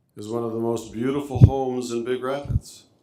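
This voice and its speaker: There is audible room echo around a man's dark, mellow tone. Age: 70s. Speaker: local resident speaking at public hearing. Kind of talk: public comment at zoning hearing. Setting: city zoning board meeting.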